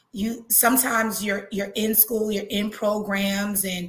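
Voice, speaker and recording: A woman with a medium-pitched voice is heard with audible room echo. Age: 40s. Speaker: trichology mentor. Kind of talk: interview. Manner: halting.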